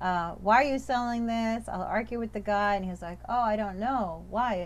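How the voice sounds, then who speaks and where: Someone talks at a moderate pace with a Pakistani accent. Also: woman. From Pakistan, raised moving between countries. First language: Urdu. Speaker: professor of religious studies. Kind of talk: interview conversation. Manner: animated.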